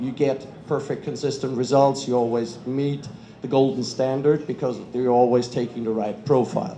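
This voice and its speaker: A man with a German accent speaks at a moderate pace, at a medium pitch and with fairly even intonation, amid noticeable background noise and audible room echo. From Germany. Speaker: kitchen equipment industry representative. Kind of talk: panel talk.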